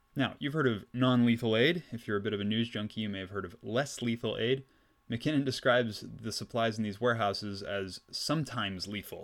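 An ordinary speaking voice with a Canadian accent moves at a fairly quick pace. Its pitch varies in an ordinary way, and the recording is very clean with a silent background. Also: man. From British Columbia, Canada. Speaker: history podcast host. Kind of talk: scripted narration. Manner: casual with frequent fillers.

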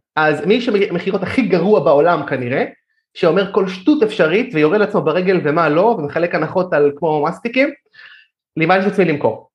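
A man's high voice with lively intonation and very even loudness. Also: moderate pace. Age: 30s. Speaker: digital marketer. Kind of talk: podcast interview.

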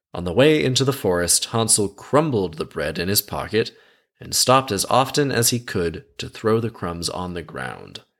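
An unremarkable speaking voice at a moderate pace, lively intonation, and a very clean recording over a silent background. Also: man, medium pitch for a man. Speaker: podcast host. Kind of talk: scripted fairy-tale narration read aloud, broken by sarcastic commentary. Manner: storyteller's tone for quoted dialogue, then snarky, irreverent, casually sweary asides; conversational, jokey.

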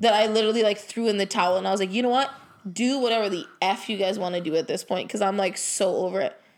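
A woman talks at a fairly quick pace in a plain, everyday voice with ordinary pitch variation. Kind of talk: casual chat. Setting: living room at home. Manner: casual, swears often.

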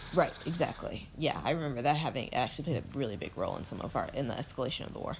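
At a very fast pace, a woman talks with a very deep, low pitch and ordinary pitch variation. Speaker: podcast co-host. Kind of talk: casual chat.

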